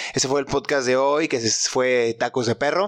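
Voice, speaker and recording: In a Mexican accent, a man speaks with a fairly high pitch. His pace is fairly slow. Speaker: podcast host. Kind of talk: casual solo monologue. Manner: animated.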